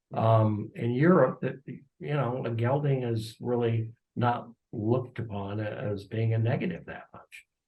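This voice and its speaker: A somewhat breathy male voice at medium pitch, fairly slow in pace, with ordinary pitch variation. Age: 80s+. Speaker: racehorse owner and breeder. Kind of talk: interview.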